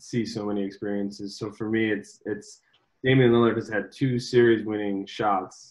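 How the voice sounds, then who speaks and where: A man with an American accent has an unremarkable speaking voice, medium pitch and fairly even intonation, heard over a quiet background. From Chicago, US Midwest. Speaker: sports marketing executive. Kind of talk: interview. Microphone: video call.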